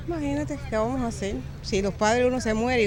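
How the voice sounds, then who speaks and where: Intonation runs lively as a woman talks at a very fast pace and fairly high pitch. Noticeable background noise and audible room echo surround her. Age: 60s. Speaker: interviewee on the street. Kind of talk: casual interview.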